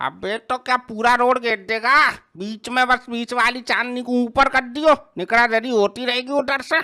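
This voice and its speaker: A put-on character voice, female-sounding and high in pitch, moves at a moderate pace. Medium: machinima. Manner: brusque, defensive.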